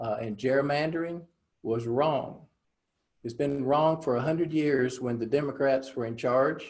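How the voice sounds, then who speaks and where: Speaking at a moderate pace, a man has a medium-pitched voice with a North Carolina accent. His pitch varies in an ordinary way. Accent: Southern US (North Carolina). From North Carolina Piedmont. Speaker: political candidate. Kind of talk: interview. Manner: hesitant, many filler words.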